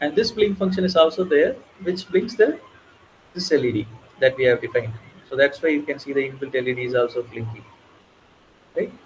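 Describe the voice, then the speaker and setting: Talking at a fairly quick pace, a man with a fairly high pitch and lively intonation takes long, frequent pauses. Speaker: bootcamp instructor. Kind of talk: live coding tutorial. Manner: halting, with fillers.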